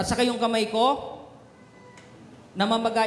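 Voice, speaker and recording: A loud man with an extremely high pitch and an animated tone at a moderate pace, with audible room echo and noticeable background noise. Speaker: pastor. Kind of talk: sermon.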